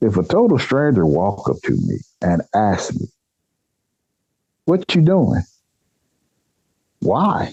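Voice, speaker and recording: A man with an American accent speaks at a medium pitch with a dark, mellow tone. His pitch swings very widely. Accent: country accent (per others). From Nebraska, US Midwest. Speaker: eyewitness storyteller. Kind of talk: personal storytelling in interview. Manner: animated.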